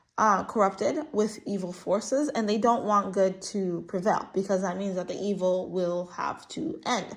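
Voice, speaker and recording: The speaker is a woman with an animated tone. She keeps a moderate pace. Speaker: tarot reader. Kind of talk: spiritual reading monologue.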